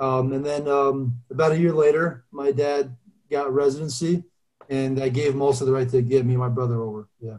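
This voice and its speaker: In a New Jersey accent, a man speaks at a medium pitch. His pace is fairly quick and his intonation fairly even. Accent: New Jersey American. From Albania, raised in New Jersey from age 9. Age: 30s. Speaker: former pro football player. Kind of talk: casual interview.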